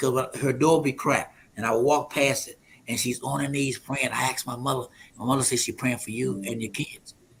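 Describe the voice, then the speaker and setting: Somewhat breathy and very fast, a man speaks at a medium pitch with fairly even intonation. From US South, Alexandria, Virginia. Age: 70s. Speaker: prophet and men's ministry leader. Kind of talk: testimony.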